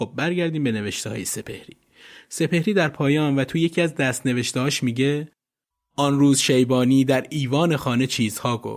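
This man has an ordinary speaking voice, a fairly high pitch, ordinary pitch variation and a moderate pace. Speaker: podcast narrator. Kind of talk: scripted narration.

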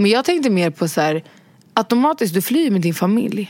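A woman speaks at a fairly quick pace in an unremarkable speaking voice with lively intonation. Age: 20s. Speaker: podcast host. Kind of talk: casual chat.

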